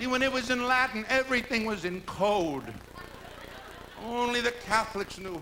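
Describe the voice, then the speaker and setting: Speaking in a raised, projected voice with an American accent, a man with an extremely high pitch for a man talks at a moderate pace with ordinary pitch variation and long, frequent pauses over noticeable background noise. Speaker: lounge entertainer. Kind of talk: live stand-up comedy monologue. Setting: live hotel theater performance.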